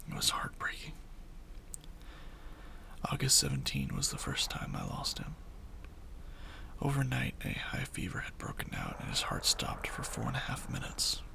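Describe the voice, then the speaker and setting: Someone whispers at a moderate pace with long, frequent pauses against noticeable background noise. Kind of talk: horror story reading.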